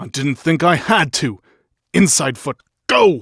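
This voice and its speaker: A man growls in a put-on character voice, fairly high-pitched, raised and projected, with lively intonation. His pace is fairly slow, and the sound is dry and close with no echo. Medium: read story.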